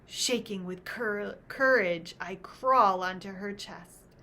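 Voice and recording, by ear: The reading aloud is done in a natural voice and has ordinary pitch variation.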